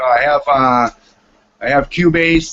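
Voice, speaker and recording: A man with a Boston accent speaks at a fairly high pitch. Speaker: music producer and composer. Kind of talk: casual chat. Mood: relaxed, friendly. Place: home room. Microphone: video call.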